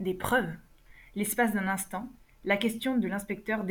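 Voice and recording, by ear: The text is read aloud in a natural voice.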